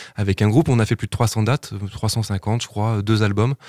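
At a moderate pace, a man with a fairly low pitch and an ordinary speaking voice is heard on a very clean recording with a silent background. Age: 40s. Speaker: musician. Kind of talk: radio interview.

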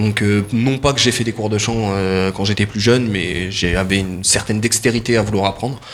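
A man with a fairly low pitch and fairly even intonation talks at a moderate pace with hardly any pauses over noticeable background noise. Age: 20s. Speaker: singer. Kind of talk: interview.

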